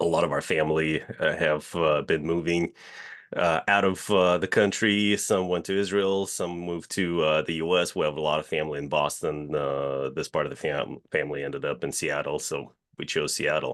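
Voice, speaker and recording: Speaking at a moderate pace, a man with a slight Russian accent uses fairly even intonation and a very deep, low pitch. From Russia, Moscow. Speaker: real estate company CEO. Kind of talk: podcast interview. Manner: hesitant, many filler uhs.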